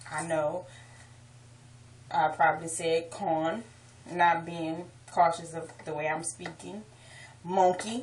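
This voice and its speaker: A woman speaks very slowly with ordinary pitch variation, leaving long, frequent pauses. Her loudness swings widely, and background noise is noticeable. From New Orleans, Louisiana. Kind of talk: accent tag video, casual talk to camera.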